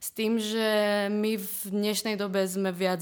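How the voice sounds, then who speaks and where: This woman speaks in a monotone with flat intonation. The recording is very clean, the background silent. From eastern Slovakia, Prešov. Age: 20s. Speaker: marketing student. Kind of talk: casual interview.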